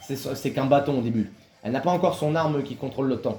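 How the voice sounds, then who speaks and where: This man's speech is very fast. Its pitch variation is ordinary. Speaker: gaming youtuber. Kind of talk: gameplay commentary.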